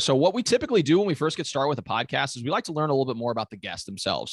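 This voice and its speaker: A man with vocal fry and very wide pitch swings, very fast, on a very clean recording with a silent background and a dry, close sound with no echo. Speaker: podcast host. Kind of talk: podcast interview.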